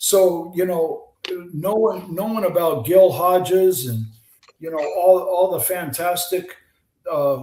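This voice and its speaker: The speaker has an American accent and ordinary pitch variation. The pace is very slow. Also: man, high pitch for a man. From US West Coast (San Diego, California). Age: 70s. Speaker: retired baseball pitcher and author. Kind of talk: casual interview chat. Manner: animated storytelling.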